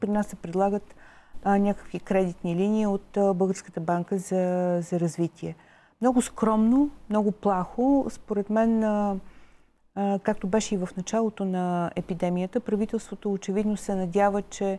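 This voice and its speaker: A woman speaks at a fairly slow pace with fairly even intonation. Her tone is dark and mellow. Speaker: TV studio guest commentator. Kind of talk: interview answer. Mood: critical, earnest. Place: studio. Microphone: lapel.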